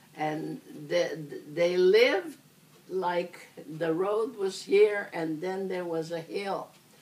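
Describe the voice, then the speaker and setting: Over noticeable background noise, a woman speaks at a very slow pace and medium pitch, with ordinary pitch variation and long, frequent pauses. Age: 80s+. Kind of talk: interview answer.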